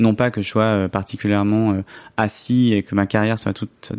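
Here is a normal speaking voice from a man with a fairly low pitch. He keeps a moderate pace in a very clean recording with a silent background. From France, Grenoble. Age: 30s. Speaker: journalist and author. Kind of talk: podcast interview.

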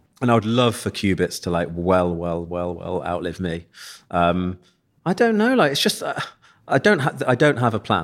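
Speaking at a moderate pace, a man with a very deep, low pitch and ordinary pitch variation comes through on a very clean recording with a silent background. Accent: East Midlands. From East Midlands, England (Leicester). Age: 40s. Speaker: eyewear company founder. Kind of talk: casual interview chat.

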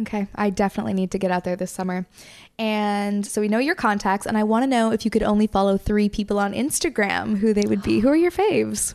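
A woman's medium-pitched voice at a very fast pace against a quiet background. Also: ordinary pitch variation. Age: 20s. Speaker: podcast host. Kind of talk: casual chat; scripted intro.

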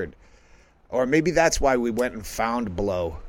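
The speaker has an unremarkable speaking voice and an American accent. The pace is moderate. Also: man. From Massachusetts. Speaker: comedian. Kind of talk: casual chat.

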